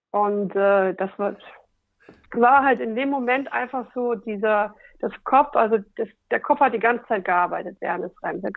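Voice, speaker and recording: This woman has a plain, everyday voice, fairly high in pitch, with ordinary pitch variation and a fairly slow pace. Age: 40s. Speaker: radio worker and stand-up paddling athlete. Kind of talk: casual interview.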